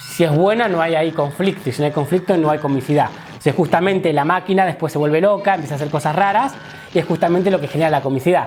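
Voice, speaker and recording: With ordinary pitch variation, a man talks in a high voice at a very fast pace while noticeable background noise carries on. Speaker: comedy teacher. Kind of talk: lecture.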